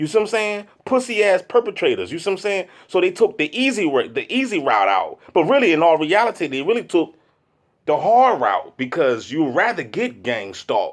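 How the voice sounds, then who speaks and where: The delivery comes at a moderate pace in an animated tone. The recording is very clean, with a silent background. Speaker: video blogger. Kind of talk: casual monologue. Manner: loud.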